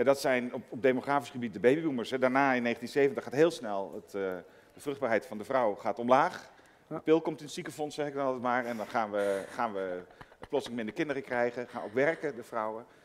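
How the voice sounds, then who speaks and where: An ordinary speaking voice from a man at medium pitch, fairly quick in pace, with ordinary pitch variation, big swings in loudness, and light background noise. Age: 50s. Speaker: economist; guest. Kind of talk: panel discussion. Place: hall.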